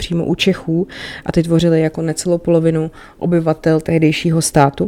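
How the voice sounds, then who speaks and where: A woman speaks in a fairly low pitch. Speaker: history podcast host. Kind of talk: solo educational monologue. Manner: casual, conversational with fillers.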